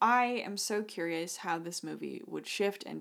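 In a very clean recording with a silent background, a woman speaks at a moderate pace in a fairly low pitch, a plain, everyday voice. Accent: American. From Idaho. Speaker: podcast co-host. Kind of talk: casual chat.

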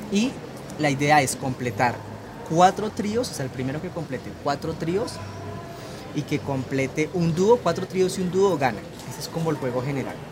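Lively intonation from a man at a fairly high pitch, with long, frequent pauses and noticeable background noise. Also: moderate pace. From Colombia. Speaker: former Spanish teacher in China, Chinese culture representative. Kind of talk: interview and hands-on demonstration.

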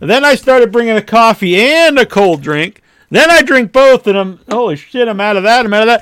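A loud man's voice at an extremely high pitch, fairly quick with lively intonation, dry and close with no echo in a very clean recording with a silent background. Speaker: podcast host. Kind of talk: casual chat.

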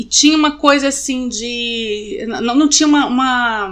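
A woman's high-pitched voice. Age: 40s. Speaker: author. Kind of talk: casual chat.

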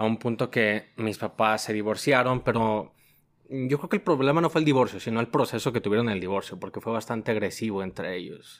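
A man speaks at a medium pitch in an ordinary speaking voice. The recording is very clean, with a silent background. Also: ordinary pitch variation. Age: 20s. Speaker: logistics worker. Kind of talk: testimony.

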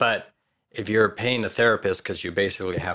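A man talks in a bright, sharp tone at a fairly low pitch. His intonation stays fairly even. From Spain, Madrid. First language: Spanish. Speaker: actor. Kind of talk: casual chat. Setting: studio.

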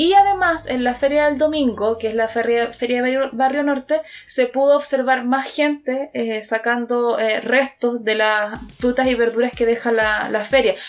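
In a high-pitched voice, a woman talks at a fairly slow pace. She takes hardly any pauses. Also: ordinary pitch variation. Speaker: radio show panelist. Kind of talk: casual political discussion. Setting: radio studio with live stream.

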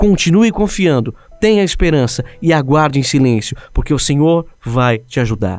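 Using a fairly high pitch, a man speaks at a moderate pace with very wide pitch swings. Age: 20s. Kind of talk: devotional monologue.

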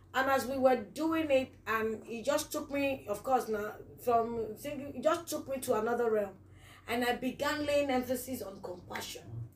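A woman's high-pitched, animated voice at a moderate pace, with ordinary pitch variation. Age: 40s. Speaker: podcast host. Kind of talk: casual interview.

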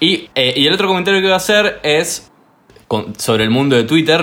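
A man speaks with lively intonation. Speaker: podcast guest. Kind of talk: casual chat.

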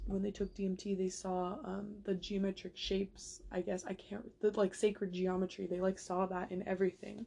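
A very fast, somewhat breathy woman's voice, dark and mellow in tone, with monotone, flat intonation. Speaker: podcast host. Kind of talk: casual monologue. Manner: rambling with many fillers.

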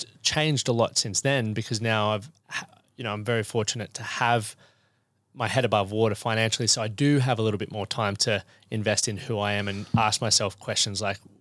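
A man with an Australian accent, fairly low pitch, fairly even intonation and a fairly quick pace, in a very clean recording with a silent background. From Queensland, Australia (Toowoomba). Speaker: men's fitness and mindset coach. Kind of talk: casual interview. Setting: podcast studio.

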